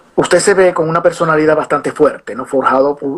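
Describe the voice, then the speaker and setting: The speaker moves at a very fast pace. The pitch shows ordinary variation. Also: man. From Venezuela. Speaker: interviewer, show host. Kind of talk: interview.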